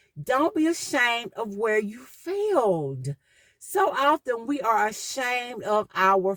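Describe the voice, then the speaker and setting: Recorded with a dry, close sound and no echo, a woman speaks with a Southern accent and lively intonation. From US South. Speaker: podcast host. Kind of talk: motivational talk.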